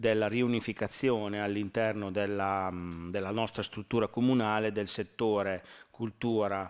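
A man talks fairly slowly in a fairly low, monotone voice with flat intonation. The background is quiet. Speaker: deputy mayor at council meeting. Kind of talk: formal council presentation. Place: hall.

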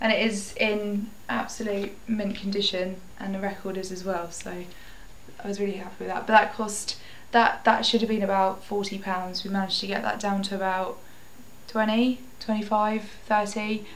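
A woman's flat, monotone voice at a moderate pace, with light background noise. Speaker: vintage shop owner vlogger. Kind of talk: casual vlog chat. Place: home room. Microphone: webcam.

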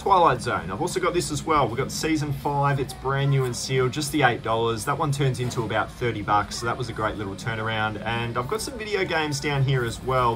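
Music in the background behind a man's fairly quick delivery, ordinary pitch variation throughout. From Australia. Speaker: thrift reseller YouTuber. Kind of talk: vlog narration. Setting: in thrift stores. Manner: animated. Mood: upbeat, pleased.

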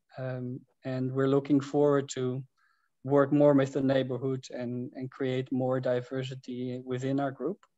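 A man speaks in a Dutch accent at a fairly slow pace. His intonation is monotone and flat, against a quiet background. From Netherlands. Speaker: housing cooperative member; presenter. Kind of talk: presentation; presentation talk. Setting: video call. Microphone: video call.

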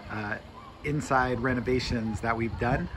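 Over noticeable background noise, a man speaks at a fairly slow pace. His intonation is fairly even. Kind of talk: casual vlog chat. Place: street.

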